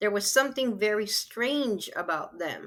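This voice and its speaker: An unremarkable speaking voice moves at a fairly slow pace with ordinary pitch variation, on a very clean recording with a silent background. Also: woman. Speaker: author. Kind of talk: interview answer, storytelling.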